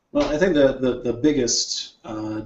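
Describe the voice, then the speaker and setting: Speaking in a normal speaking voice, a man holds a medium pitch and a medium speed. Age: 30s. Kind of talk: casual chat.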